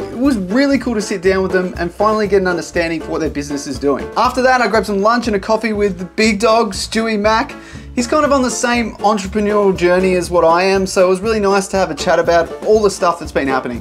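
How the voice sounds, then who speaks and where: A man's high-pitched voice at a very fast pace, hardly any pauses, ordinary pitch variation, and clear music in the background. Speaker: content creator. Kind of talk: casual vlog chat. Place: home room.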